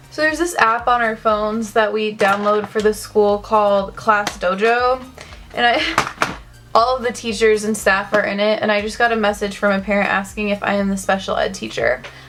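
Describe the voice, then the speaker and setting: Fairly even intonation is heard through noticeable background noise. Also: woman, fairly high pitch for a woman. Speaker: beauty vlogger. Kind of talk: makeup tutorial. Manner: casual; fast.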